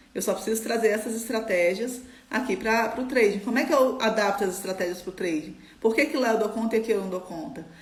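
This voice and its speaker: A woman speaks at a fairly quick pace with a fairly high pitch and ordinary pitch variation. The room echo is audible, and background noise is noticeable. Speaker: trading mindset coach. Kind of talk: live stream talk. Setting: live stream. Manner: fast.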